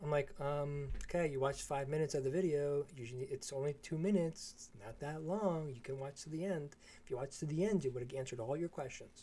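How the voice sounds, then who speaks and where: A man rattles along at a very fast pace with hardly any pauses. His fairly high voice has a dark, mellow tone and is somewhat breathy. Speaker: trading educator. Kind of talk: live stream chat. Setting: live stream. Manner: monotone.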